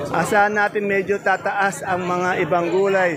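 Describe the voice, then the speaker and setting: There is noticeable background noise behind this man's high-pitched voice. He talks at a moderate pace with monotone, flat intonation. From Philippines. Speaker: market vlogger. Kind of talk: vlog with market price interviews. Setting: outdoors at a vegetable trading market. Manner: friendly, polite.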